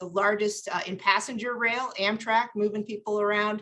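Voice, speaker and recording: A woman with a fairly high pitch and fairly even intonation. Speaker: city transportation official. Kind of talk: panel presentation. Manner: fast.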